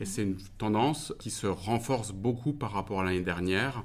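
The speaker is a man. He talks at a moderate pace. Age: 40s. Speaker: company director. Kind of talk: interview answers. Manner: hesitant, many fillers.

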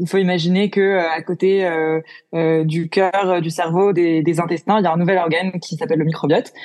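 Her intonation is monotone and flat as this woman speaks at a moderate pace. Her pitch is fairly low. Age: 20s. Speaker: entrepreneur. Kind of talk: interview. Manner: hesitant, many fillers.

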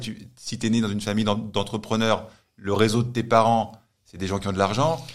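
The voice is a normal speaking voice. It moves at a fairly quick pace with fairly even intonation. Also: man. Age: 40s. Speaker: strength and conditioning coach. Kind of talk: casual interview.

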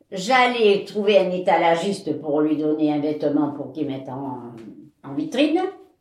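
Very wide pitch swings from a woman, with audible room echo. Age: 80s+. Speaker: interviewee sharing life story. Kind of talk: testimony. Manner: halting.

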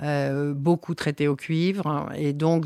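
Very deep and low for a woman, her voice moves at a very slow pace in a flat monotone, on a very clean recording with a silent background and a dry, close sound free of echo. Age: 60s. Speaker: winery owner and agronomist. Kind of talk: interview. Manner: hesitant, many fillers.

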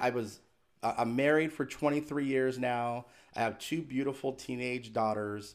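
Recorded very cleanly against a silent background, a man speaks in an unremarkable speaking voice at a medium pitch, with ordinary pitch variation and a moderate pace. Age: 40s. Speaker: inspirational speaker and author. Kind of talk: interview.

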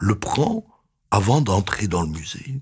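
A man's voice with vocal fry. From Belgium. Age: 70s. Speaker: retired museum director and exhibition curator. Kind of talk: interview. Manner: halting, with frequent repetitions.

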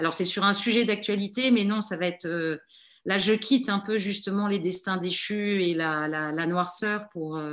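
At a fairly slow pace, a woman of medium pitch speaks with ordinary pitch variation against a quiet background. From Djibouti (French family). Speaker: novelist. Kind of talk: radio interview. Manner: halting, many repetitions and hesitations.

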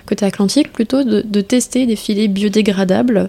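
A woman speaks in an unremarkable speaking voice at medium pitch. Her pace is moderate and her pitch varies in an ordinary way. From French Guiana. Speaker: start-up manager in fishing net recycling. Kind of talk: interview.

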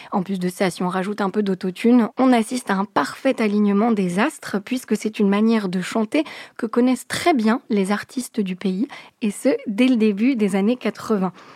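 A woman speaks with an unremarkable speaking voice at a fairly high pitch and a moderate pace, with ordinary pitch variation. The sound is dry and close, with no echo. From France, Moroccan family from Fès. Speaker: radio host. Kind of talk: scripted narration. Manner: clear, fluent.

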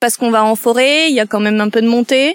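A woman with a high pitch talks at a fairly quick pace in a very clean recording with a silent background and a dry, close sound with no echo. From Landes, southwestern France. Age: 30s. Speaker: nature guide. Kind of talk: interview.

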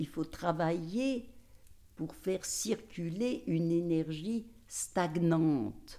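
A woman with a fairly low, dark and mellow voice speaks at a very slow pace with lively intonation. The recording is very clean, with a silent background. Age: 80s+. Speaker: gynecologist and author. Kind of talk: interview. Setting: house by the fireside. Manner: halting.

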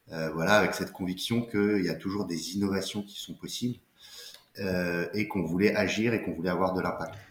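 Here a man with a very deep, low pitch speaks at a fairly quick pace with fairly even intonation. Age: 30s. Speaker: entrepreneur, company co-founder. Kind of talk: casual interview. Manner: halting, frequent repetitions and fillers.

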